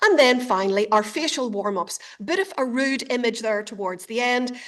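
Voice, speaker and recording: Amid noticeable background noise, a woman with a high pitch talks at a moderate pace with lively intonation. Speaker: speech and communication coach. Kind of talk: webinar presentation. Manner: clear articulation.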